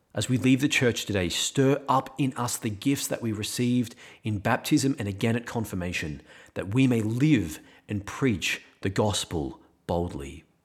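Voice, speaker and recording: A man talks at a moderate pace with lively intonation and vocal fry at medium pitch. The recording is very clean with a silent background. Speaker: priest. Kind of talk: homily; fervent prayer, led aloud for listeners and the community. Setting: podcast recording. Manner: earnest, pleading, reverent.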